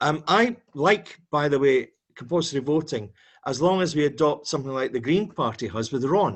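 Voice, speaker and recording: With a Dundee accent, a man speaks at a moderate pace using lively intonation. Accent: Scottish (Dundee). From Scotland, Dundee. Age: 60s. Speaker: campaigner. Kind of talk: video call discussion. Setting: video call.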